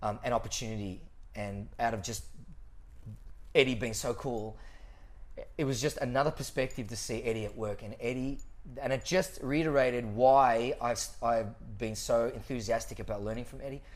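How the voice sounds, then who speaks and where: This speaker has an Australian accent and a moderate pace. Long pauses come often. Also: man, medium pitch for a man. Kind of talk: casual chat. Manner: animated.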